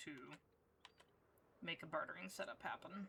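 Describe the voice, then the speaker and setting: Quiet and fairly low in pitch, a woman speaks with a bright, sharp tone. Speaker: streamer. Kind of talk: casual gameplay livestream chat. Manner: quiet, low volume; low energy.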